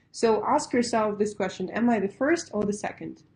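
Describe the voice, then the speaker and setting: A woman with a Russian accent, fairly high-pitched and somewhat breathy, with a dark, mellow tone. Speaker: pitch coach. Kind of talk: webinar lecture. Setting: online webinar. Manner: casual, conversational with fillers.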